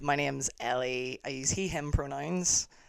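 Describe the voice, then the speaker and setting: A Northern Irish accent at a fairly slow pace, in a very clean recording with a silent background. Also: man. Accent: Northern Irish (Belfast). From Northern Ireland, South Belfast. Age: 30s. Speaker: amateur basketball team co-founder. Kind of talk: casual chat.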